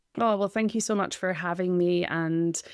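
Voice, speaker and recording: In a Scottish accent, a woman talks at a moderate pace with a fairly low pitch. The recording is very clean, with a silent background. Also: dry, close sound with no echo. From Scotland. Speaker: breathwork coach. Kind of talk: interview.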